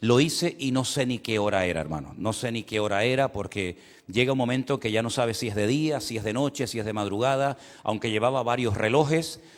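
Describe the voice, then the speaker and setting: Man with a Canary Islands accent, medium pitch, ordinary pitch variation and a fairly quick pace. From Canary Islands, Spain. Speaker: pastor. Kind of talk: sermon. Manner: repetitive, self-interrupting.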